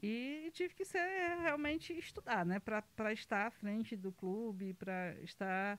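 A woman's medium-pitched voice in a Ceará accent, very slow, with very wide pitch swings. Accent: Northeastern Brazilian (Cearense) Portuguese. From Brazil, Ceará (Pedra Branca, rural). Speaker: football club president. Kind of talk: casual interview. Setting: studio.

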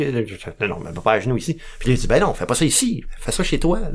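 A man speaks with a Quebec accent at a moderate pace. His intonation is lively. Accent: Québécois French. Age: 40s. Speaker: recovering alcoholic sharing his story. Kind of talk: testimony. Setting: radio studio. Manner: halting.

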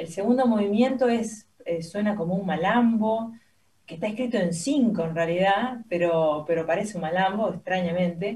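A woman's dark, mellow, somewhat breathy voice at a medium pitch, with lively intonation and a fairly slow pace. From Argentina, Santa Fe. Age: young. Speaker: pianist. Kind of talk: radio interview. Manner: hesitant, many fillers.

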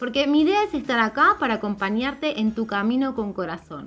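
Against noticeable background noise, a woman talks at a fairly quick pace in a high voice with very wide pitch swings. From Argentina. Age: 30s. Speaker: personal branding mentor and podcast host. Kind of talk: solo podcast monologue.

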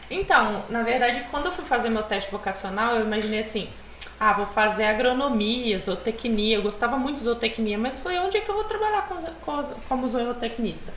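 A woman speaks with a fairly high pitch and lively intonation. The audio carries audible room echo and noticeable background noise. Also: fairly quick pace. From Espírito Santo, Brazil. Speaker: nutritionist. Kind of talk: casual chat.

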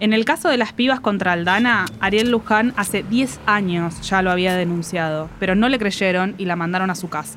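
A woman speaks in a Rioplatense accent at a medium pitch and a moderate pace. Her pitch variation is ordinary, and she hardly pauses. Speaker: podcast host. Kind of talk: scripted podcast narration.

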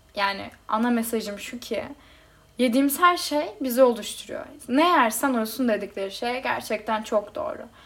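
Her voice sits high and moves at a moderate speed. The rise and fall of her pitch is ordinary. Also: big swings in loudness. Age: 20s. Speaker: podcast host. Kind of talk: personal monologue.

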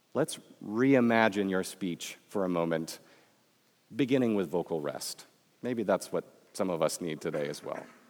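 Lively intonation and long, frequent pauses in a Midwestern American accent. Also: man, fairly low pitch for a man, moderate pace. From US Midwest. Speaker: professor. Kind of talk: sermon. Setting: chapel with audience.

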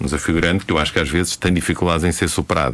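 A man is speaking here. The pitch of his voice is very deep and low. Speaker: university professor and radio commentator. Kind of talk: radio current-affairs commentary. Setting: radio studio.

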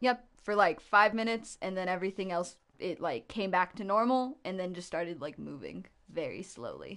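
A woman with a plain, everyday voice speaks at medium pitch and a moderate pace, using lively intonation against a quiet background. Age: 20s. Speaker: slam poet. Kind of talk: casual chat. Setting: studio.

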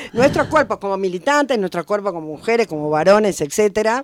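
On a very clean recording with a silent background, a woman at medium pitch swings widely up and down. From Buenos Aires, Argentina. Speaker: retired history teacher and researcher. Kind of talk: interview.

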